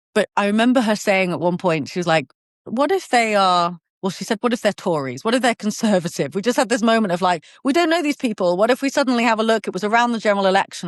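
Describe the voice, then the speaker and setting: With a southern English accent, a woman speaks at a very fast pace in a fairly high pitch, in a dry, close sound with no echo against a quiet background. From southern England. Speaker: podcast guest sharing personal story. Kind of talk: interview conversation. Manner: hesitant with false starts.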